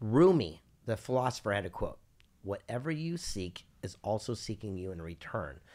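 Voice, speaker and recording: An animated tone with very wide pitch swings comes in an American accent at a moderate pace. The recording is very clean with a silent background. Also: man, fairly low pitch for a man. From Southern California. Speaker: entrepreneur and keynote speaker. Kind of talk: podcast interview.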